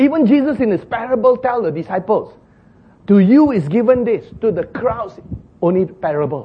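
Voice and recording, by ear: Man with a high pitch, lively intonation, a moderate pace and a slightly husky edge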